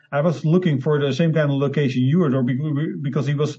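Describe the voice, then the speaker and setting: This man's voice is fairly high and somewhat breathy. His intonation stays fairly even. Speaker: independent filmmaker. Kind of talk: interview. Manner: halting.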